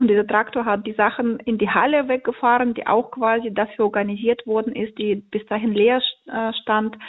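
Her intonation stays monotone and flat. The woman's pitch sits fairly high. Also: moderate pace. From central Ukraine (Poltava region, Kremenchuk). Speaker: volunteer aid organizer. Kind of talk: phone interview. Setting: phone call.

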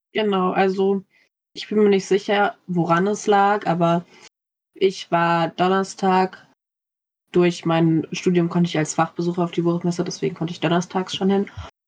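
Her medium-pitched voice stays monotone and flat as the woman speaks. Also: moderate pace. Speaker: university student. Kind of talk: casual book discussion.

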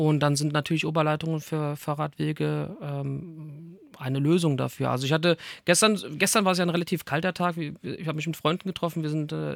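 Speaking at a fairly quick pace, a man with a fairly high pitch keeps his intonation fairly even, in a very clean recording with a silent background and a dry, close sound with no echo. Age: 40s. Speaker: mayoral candidate for a satirical party. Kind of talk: interview. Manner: hesitant, many filler sounds.

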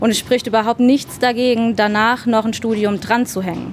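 A woman's unremarkable speaking voice, fairly high in pitch, at a moderate pace. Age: 30s. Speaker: chemical lab technician. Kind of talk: interview. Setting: in a laboratory.

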